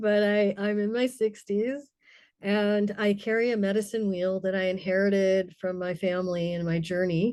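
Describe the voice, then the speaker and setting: An ordinary speaking voice moves at a fairly slow pace with fairly even intonation. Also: woman. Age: 60s. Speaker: spiritual elder and storyteller. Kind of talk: personal sharing in a group circle.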